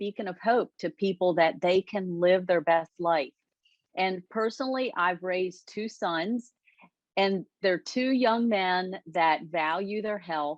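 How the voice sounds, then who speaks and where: A woman's medium-pitched, normal speaking voice, at a fairly slow pace with ordinary pitch variation. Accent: American. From United States. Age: 60s. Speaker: lifestyle coach. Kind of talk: interview.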